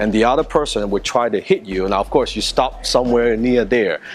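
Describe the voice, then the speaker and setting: Noticeable background noise sits behind a man speaking at a moderate pace with a Chinese accent. His voice is medium in pitch, with lively intonation. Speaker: martial arts instructor. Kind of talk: personal story; tutorial.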